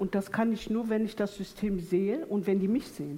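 A woman's somewhat breathy voice sits at medium pitch with a dark, mellow tone, ordinary pitch variation and a moderate pace. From Ruhr area, Duisburg. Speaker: poet. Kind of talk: panel discussion on stage. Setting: theatre stage with audience.

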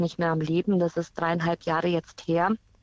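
The woman's pitch is fairly low, and her pace is fairly quick. The sound is dry and close, with no echo. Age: 40s. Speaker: caller, cancer patient and teacher. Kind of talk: phone-in testimony.

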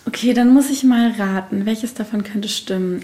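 Speaking fairly slowly, a woman uses a fairly high pitch. Her pitch varies in an ordinary way. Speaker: podcast host. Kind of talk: casual interview; scripted narration.

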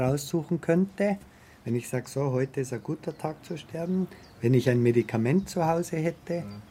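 A man's somewhat breathy voice with a dark, mellow tone and lively intonation. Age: 50s. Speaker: wheelchair user with paraplegia. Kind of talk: interview testimony.

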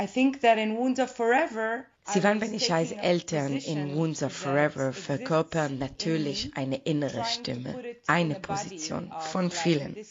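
A woman with a fairly low pitch and an Israeli accent speaks at a fairly slow pace, her pitch swinging very widely. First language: Hebrew (speaking German). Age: 40s. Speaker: playwright. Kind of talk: interview.

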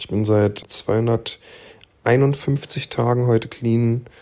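A plain, everyday voice from a man, medium in pitch, with ordinary pitch variation. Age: 30s. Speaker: recovering addict, podcaster. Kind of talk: interview.

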